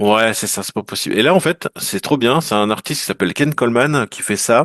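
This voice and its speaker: A man's medium-pitched voice with lively intonation, dry and close with no echo, over a quiet background. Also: fairly quick pace. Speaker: collector of vintage toys and trading cards. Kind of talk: casual chat. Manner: animated.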